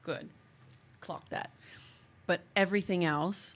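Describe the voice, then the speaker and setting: A woman with an American accent, vocal fry, fairly even intonation and a fairly slow pace. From US, San Diego. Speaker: podcast host. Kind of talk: casual chat.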